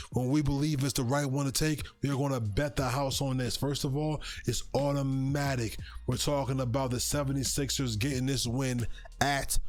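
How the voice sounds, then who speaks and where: In a room with audible echo, a man at medium pitch speaks at a moderate pace with very even loudness and monotone, flat intonation. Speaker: sports betting show host. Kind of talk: sports betting picks talk. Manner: halting, stutters at times.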